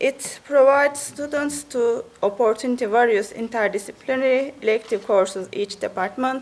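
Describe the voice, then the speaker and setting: A woman's high-pitched voice with a Turkish accent, at a moderate pace with hardly any pauses and ordinary pitch variation, over noticeable background noise. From Turkey. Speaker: university representative. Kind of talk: presentation. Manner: halting.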